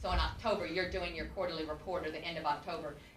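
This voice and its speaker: Amid noticeable background noise and audible room echo, the speech runs at a very fast pace. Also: woman. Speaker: former county treasurer. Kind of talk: testimony under questioning at public meeting. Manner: loud.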